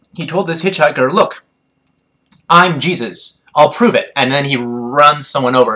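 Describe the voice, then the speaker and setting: A man talks with lively intonation. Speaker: vlogger. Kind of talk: casual rant to camera. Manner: hesitant, many fillers.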